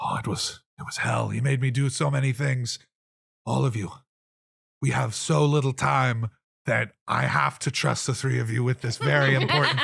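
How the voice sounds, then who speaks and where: A man puts on a raspy character voice at medium pitch, keeping a moderate pace. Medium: actual play. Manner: dramatic, put-upon.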